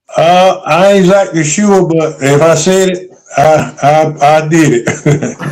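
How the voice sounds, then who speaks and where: Over noticeable background noise, a man with a North Carolina accent talks at a very slow pace in a high voice, his intonation fairly even and his loudness very even. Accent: US Southern (North Carolina). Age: 70s. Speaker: retired basketball coach. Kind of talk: interview.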